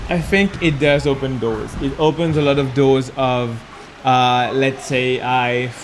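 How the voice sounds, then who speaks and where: Noticeable background noise underlies speech in a Mauritian accent with fairly even intonation. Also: man, medium pitch for a man, fairly slow pace. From Mauritius. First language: Mauritian Creole. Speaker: gymnastics and parkour coach. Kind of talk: interview answer. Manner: hesitant, with fillers.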